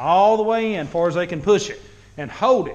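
His pitch rises and falls in an ordinary way. The man keeps a moderate pace. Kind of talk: tutorial. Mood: mildly annoyed, relaxed. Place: garage. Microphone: phone near.

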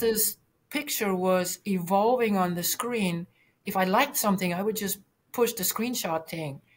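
A woman speaks somewhat breathily. Her pitch varies in an ordinary way. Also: moderate pace. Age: 60s. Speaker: retired occupational therapist, brain injury survivor; interview guest. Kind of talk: casual interview. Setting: video call. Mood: calm, reflective. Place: home room. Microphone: webcam.

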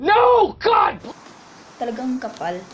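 Noticeable background noise runs under a woman speaking with ordinary pitch variation. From Philippines. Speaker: caregiver and vlogger; vlogger. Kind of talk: casual vlog talk. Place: home room. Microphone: earbuds.

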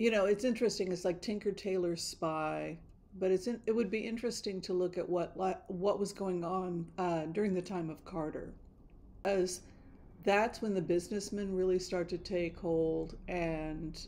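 At a moderate pace, a woman speaks in a dark, mellow tone. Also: fairly even intonation. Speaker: tarot reader vlogger. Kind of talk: casual vlog chat. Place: home room. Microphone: studio mic.

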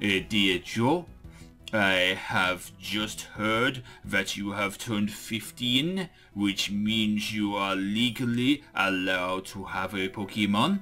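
Over clear background music, a man uses a put-on character voice with a fairly low pitch. He speaks at a very slow pace. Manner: reading a letter aloud in character voice.

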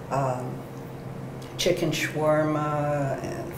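Very slow speech over noticeable background noise. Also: woman. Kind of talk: interview answer. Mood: warm, smiling. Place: cafe. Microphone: lapel.

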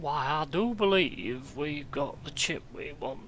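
Using a put-on character voice, a man speaks at a fairly high pitch and fairly slow pace over clear background noise.

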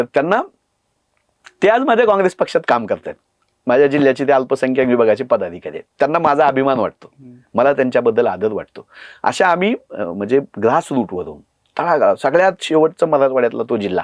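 With very wide pitch swings and vocal fry, the voice sounds dry and close with no echo over a quiet background. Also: man, fairly high pitch for a man. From Marathwada, Dharashiv district, Maharashtra. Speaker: political party spokesperson. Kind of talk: podcast interview. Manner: impassioned.

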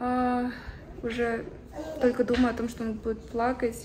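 The speech moves at a fairly slow pace. Noticeable background noise runs beneath it. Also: woman. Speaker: mother vlogger. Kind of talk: casual vlog chat. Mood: worried, emotional. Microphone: phone near.

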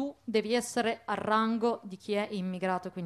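A woman speaks with fairly even intonation. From Italy, Bologna; Italy. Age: young. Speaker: activist; speaker. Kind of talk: panel discussion. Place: stage. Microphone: handheld.

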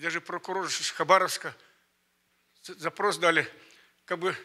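Against a quiet background, a man talks at a moderate pace. His tone is bright and sharp. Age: 80s+. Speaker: elderly church member. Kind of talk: testimony. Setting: church conference with audience. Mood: earnest, reflective, emotional. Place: church. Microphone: handheld.

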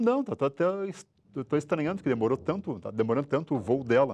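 Ordinary pitch variation in a man's speech, set against a quiet background. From Rio Grande do Sul, Brazil. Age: 60s. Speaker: businessman, father of a crash victim; interviewee. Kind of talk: testimony. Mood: somber, emotional recollection. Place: studio. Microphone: lapel.

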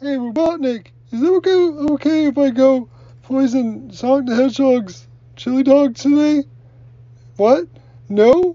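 A cartoonish character voice at a moderate pace, broken by long, frequent pauses. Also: female-sounding voice, high pitch for a woman. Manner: hesitant, stammering.

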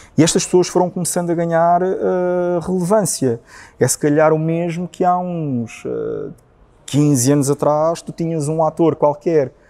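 At a moderate pace, a man speaks in a high pitch with a dark, mellow tone and fairly even intonation. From northern Portugal. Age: 30s. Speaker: communications professional; interview guest. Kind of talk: interview conversation. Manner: halting, many repetitions and fillers. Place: studio.

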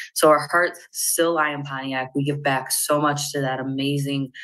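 Against a quiet background, a woman with a very deep, low pitch speaks fairly slowly with a bright, sharp tone and monotone, flat intonation. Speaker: credit union representative. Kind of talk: interview. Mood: warm, enthusiastic. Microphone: earbuds.

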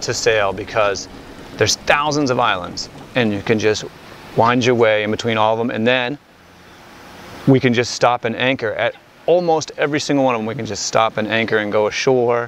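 A man at a fairly quick pace with fairly even intonation, a dry sound with no echo and light background noise. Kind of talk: interview answer. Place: boat. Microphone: lapel.

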